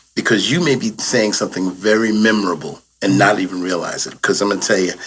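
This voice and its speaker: This man has an unremarkable speaking voice, pitched fairly low and delivered at a fairly quick pace. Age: 60s. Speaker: podcast host. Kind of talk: casual chat.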